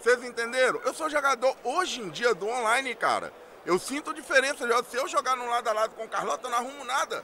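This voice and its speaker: Over noticeable background noise, a man with an extremely high voice talks at a very fast pace. He projects his voice, speaking loudly. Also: ordinary pitch variation. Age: 30s. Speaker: fighting game player. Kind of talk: winner's speech.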